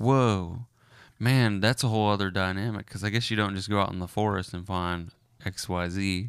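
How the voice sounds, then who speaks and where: A man with a normal speaking voice talks at a moderate pace, fairly low in pitch and fairly even in intonation, in a very clean recording with a silent background. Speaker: podcast host. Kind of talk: casual chat.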